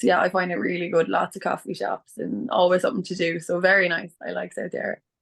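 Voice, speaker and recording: A woman with an Irish accent talks very fast in a flat, monotone way. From Ireland, County Clare. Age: 20s. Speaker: nurse. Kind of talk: webinar interview.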